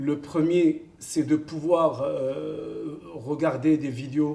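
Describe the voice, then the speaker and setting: Here a man talks with a fairly high pitch. His pace is very slow. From Morocco (Kenitra). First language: Arabic (speaking French). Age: 50s. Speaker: football coach. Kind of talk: interview. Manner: hesitant, many fillers.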